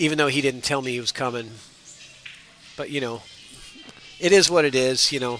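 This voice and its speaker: Over music in the background and audible room echo, a man speaks at medium pitch and a fairly quick pace with ordinary pitch variation and long, frequent pauses. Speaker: pool commentator. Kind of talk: live commentary. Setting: corner of a pool hall. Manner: gets loud when animated.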